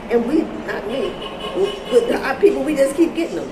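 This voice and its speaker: A woman speaks in an animated tone with very wide pitch swings. There is noticeable background noise and audible room echo. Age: 60s. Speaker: YouTube commentator. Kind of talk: monologue vlog. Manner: repetitive stammering.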